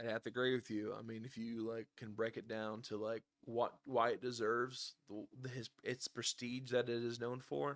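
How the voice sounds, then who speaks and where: In a dry, close sound with no echo, a man talks at a moderate pace with hardly any pauses and fairly even intonation. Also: medium pitch for a man. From Illinois. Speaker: YouTuber talking to an AI. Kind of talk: casual chat. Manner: halting, stumbling over words.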